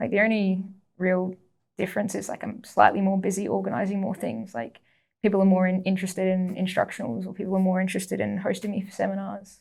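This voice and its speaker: Speaking at a very fast pace in an Australian accent, a woman sounds somewhat breathy, with ordinary pitch variation. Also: medium pitch for a woman. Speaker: jiu-jitsu athlete. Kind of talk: casual chat.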